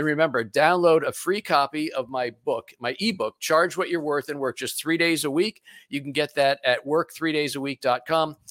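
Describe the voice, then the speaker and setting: A man talks in a plain, everyday voice, fairly high in pitch, at a moderate pace with hardly any pauses and ordinary pitch variation. The recording is very clean with a silent background, and the sound is dry and close with no echo. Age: 60s. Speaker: business coach and radio show host. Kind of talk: interview.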